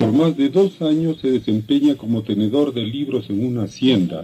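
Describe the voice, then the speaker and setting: Faint music sits in the background. A man speaks at a fairly slow pace with lively intonation. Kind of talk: documentary narration. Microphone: old recording.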